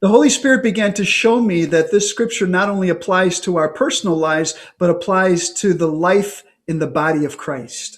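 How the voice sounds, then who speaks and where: A high-pitched male voice with lively intonation at a fairly slow pace. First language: English (speaking French). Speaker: priest and preacher. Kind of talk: sermon. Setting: online conference. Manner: short phrases paused for interpreter.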